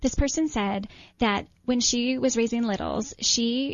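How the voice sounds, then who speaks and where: Her voice is fairly high-pitched and somewhat breathy, with an American accent. The woman keeps a moderate pace. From upstate New York. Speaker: author and mothers' advocate. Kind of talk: interview.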